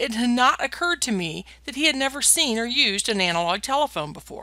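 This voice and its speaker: A woman's raised, projected voice with an American accent, high-pitched, bright and sharp, with very wide pitch swings at a fairly quick pace, in a very clean recording with a silent background. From US Midwest, northwestern Ohio. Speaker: professor. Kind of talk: lecture. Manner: formal.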